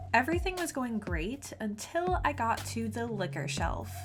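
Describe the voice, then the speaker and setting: There is audible room echo and music in the background as a woman speaks. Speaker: doll customizer and video creator. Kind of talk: tutorial.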